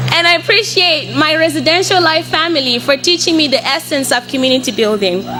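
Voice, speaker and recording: Noticeable background noise sits behind a woman speaking at a high pitch with lively intonation. She talks at a fairly quick pace with hardly any pauses and very even loudness. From Mozambique, Beira. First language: Portuguese. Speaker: college student. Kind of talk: speech.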